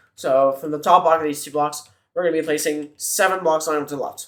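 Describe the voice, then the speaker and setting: A man with an ordinary speaking voice talks at a fairly high pitch, his intonation fairly even. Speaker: minecraft tutorial youtuber. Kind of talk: tutorial. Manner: counting aloud, step by step instructions.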